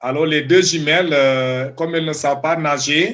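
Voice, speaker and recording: This man has a Senegalese accent, a fairly high pitch and fairly even intonation. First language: Diola (speaking French). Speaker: doctoral student. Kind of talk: interview. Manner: halting.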